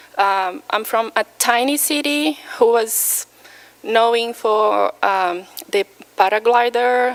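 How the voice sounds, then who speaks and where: Noticeable background noise runs under the clip. A woman speaks with a fairly high pitch. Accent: Brazilian Portuguese. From Brazil, Minas Gerais. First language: Portuguese. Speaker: patient speaker. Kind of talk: personal testimony talk. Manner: halting, many fillers.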